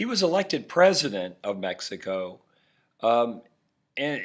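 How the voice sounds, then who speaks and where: A man's medium-pitched voice with very wide pitch swings, over a very clean recording and a silent background. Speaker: history teacher. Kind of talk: lecture. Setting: recorded podcast. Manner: throat clearing.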